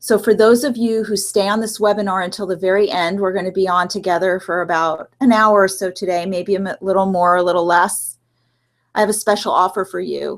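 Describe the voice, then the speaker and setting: A normal speaking voice: a woman of medium pitch, fairly quick in pace, with fairly even intonation. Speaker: relationship coach and clinical social worker. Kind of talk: webinar presentation. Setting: online live webinar with screen share.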